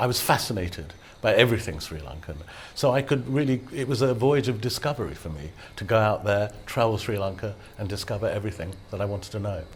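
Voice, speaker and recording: Speaking very fast with a British accent, a man uses lively intonation, his fairly low voice somewhat breathy. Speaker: photographer and travel guide author. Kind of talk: TV interview. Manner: halting, with repetitions.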